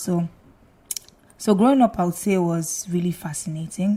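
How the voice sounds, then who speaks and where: A woman's somewhat breathy voice, dark and mellow in tone, at a moderate pace with ordinary pitch variation. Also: big swings in loudness. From Nigeria (Lagos, later Abia State). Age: 20s. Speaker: lawyer and singer. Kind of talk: casual interview chat.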